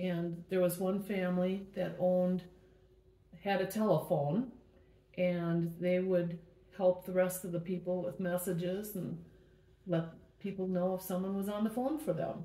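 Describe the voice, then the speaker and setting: Woman with an American accent, fairly slow and fairly even in intonation, with long, frequent pauses over noticeable background noise. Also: medium pitch for a woman. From Milwaukee, Wisconsin. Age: 70s. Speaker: mother recalling family history. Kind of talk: family oral history interview.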